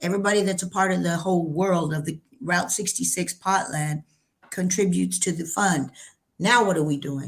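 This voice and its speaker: A woman speaks in a fairly low voice with an American accent and vocal fry. Her tone is animated. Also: ordinary pitch variation, moderate pace. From New Mexico, US Southwest. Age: 60s. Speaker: cannabis entrepreneur. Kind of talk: interview.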